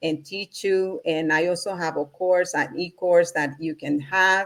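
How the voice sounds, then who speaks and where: A woman with a Spanish accent speaks at a fairly low pitch with fairly even intonation, on a very clean recording with a silent background. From Honduras, Central America. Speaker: spiritual practitioner and entrepreneurship coach. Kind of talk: conversational interview.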